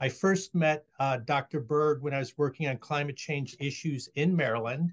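The voice is somewhat breathy and moves at a moderate pace over a quiet background. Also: man. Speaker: nonprofit executive director. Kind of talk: webinar introduction. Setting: video call. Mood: warm, welcoming. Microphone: video call.

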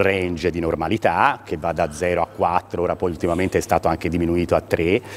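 A man with a very deep, low voice speaks at a moderate pace against light background noise. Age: 50s. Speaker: urologist; guest. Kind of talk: TV interview. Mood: calm, explanatory. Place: studio. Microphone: lapel.

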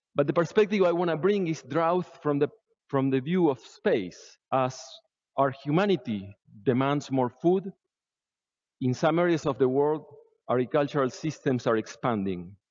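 A man at a moderate pace, with long, frequent pauses and a quiet background. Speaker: conference presenter. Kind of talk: lecture. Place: hall.

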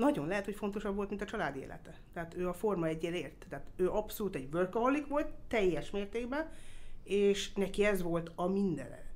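This woman's intonation is lively, at a medium pitch. She speaks at a fairly quick pace. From Austria (Vienna), Hungarian family. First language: English (speaking Hungarian). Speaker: motorsport circuit executive. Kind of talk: interview. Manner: hesitant, with fillers.

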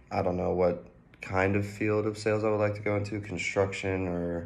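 In a fairly low voice with an American accent, a man talks at a moderate pace with monotone, flat intonation. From Georgia, US. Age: 20s. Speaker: college student. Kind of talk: self-introduction video; casual self-introduction. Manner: halting, with fillers. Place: home room. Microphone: phone near.

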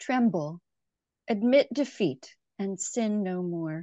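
A woman's dark, mellow voice at a very slow pace, with ordinary pitch variation, dry sound with no echo and a quiet background. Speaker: co-leader of prayer. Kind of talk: responsive prayer and psalm reading. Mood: calm, quiet, reverent. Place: home room. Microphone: video call.

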